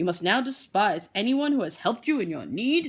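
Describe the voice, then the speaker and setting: Delivered in a put-on character voice, the speech has a fairly high pitch, very wide pitch swings and a fairly quick pace. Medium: read story.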